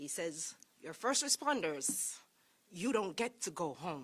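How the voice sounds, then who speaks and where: Her pitch fairly low, a woman with a Jamaican accent talks at a fairly slow pace with very wide pitch swings. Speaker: sheriff's deputy. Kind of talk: public speech.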